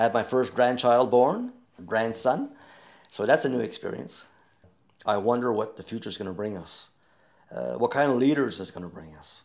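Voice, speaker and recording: A man with a Newfoundland French accent speaks at a moderate pace, leaving long, frequent pauses, over a quiet background. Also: ordinary pitch variation, big swings in loudness. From Newfoundland, Canada. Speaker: storyteller, singer, retired teacher. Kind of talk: interview answer. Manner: casual, hesitant. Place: home room.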